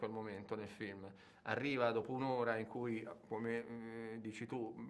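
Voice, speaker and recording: A man at a moderate pace, with audible room echo. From Turin, Italy. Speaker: film director. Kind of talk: interview.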